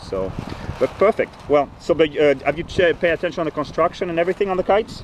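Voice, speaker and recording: A man rattles off his words at a very fast pace while noticeable background noise fills the recording. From Greece. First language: Greek. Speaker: kite company owner interviewing riders. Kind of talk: casual interview.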